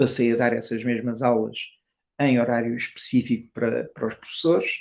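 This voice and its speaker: Keeping a monotone, flat intonation, a man with a medium pitch speaks at a fairly quick pace. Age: 70s. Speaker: tai chi teacher. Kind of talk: interview. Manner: halting.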